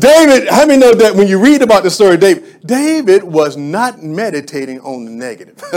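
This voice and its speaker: In an animated tone, a man talks fairly quickly in a high voice with very wide pitch swings and hardly any pauses. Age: 50s. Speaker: pastor. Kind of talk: Sunday sermon, call-and-response preaching to a congregation. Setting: church. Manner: animated, rhythmic preaching cadence with repetitions; exhorting congregation, prompting amens.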